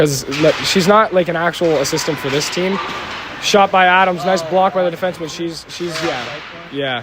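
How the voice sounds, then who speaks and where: A man's high voice at a moderate pace, fairly even in intonation, with noticeable background noise. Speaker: amateur hockey play-by-play commentator. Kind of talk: live commentary. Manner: stumbling, self-correcting.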